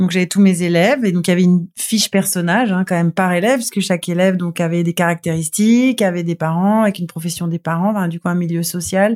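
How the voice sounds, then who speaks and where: A woman with a fairly low pitch talks at a very fast pace with hardly any pauses and fairly even intonation, the sound dry and close with no echo. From Toulon, southern France. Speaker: TV screenwriter and showrunner. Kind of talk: casual interview.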